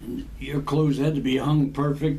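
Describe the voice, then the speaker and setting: A man with a fairly high pitch speaks at a moderate pace in a monotone, flat delivery, with noticeable background noise behind him. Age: 80s+. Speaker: army veteran of the Korean War. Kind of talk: casual reminiscing storytelling to family.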